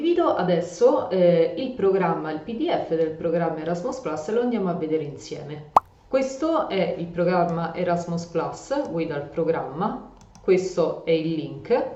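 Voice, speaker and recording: There is audible room echo and noticeable background noise as a woman speaks at a fairly slow pace. Her pitch is fairly low, and her intonation is lively. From Rome, Italy. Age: 30s. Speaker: EU project consultant and educational youtuber. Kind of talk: tutorial. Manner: hesitant fillers.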